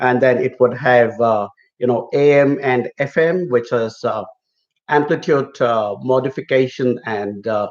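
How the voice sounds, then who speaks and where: A man talks at a fairly slow pace in a normal speaking voice. His pitch is medium and its variation ordinary. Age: middle-aged. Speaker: migration consultant. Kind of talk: live Q&A chat. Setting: live stream.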